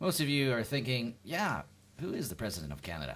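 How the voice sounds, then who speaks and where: A man talks very fast, with vocal fry and very wide pitch swings. The recording is very clean, with a silent background. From Canada. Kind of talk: stand-up comedy routine to camera. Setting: home, seated, no audience.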